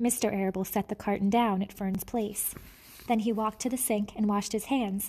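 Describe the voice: With fairly even intonation, the speaker is doing plain reading aloud.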